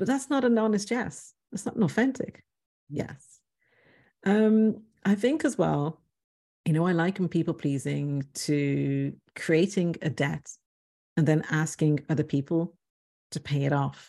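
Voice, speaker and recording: Against a quiet background, a woman with a fairly low pitch and a dark, mellow tone speaks at a fairly slow pace with lively intonation and long, frequent pauses. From Ireland, Dublin. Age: 40s. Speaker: relationship coach and author. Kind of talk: interview conversation.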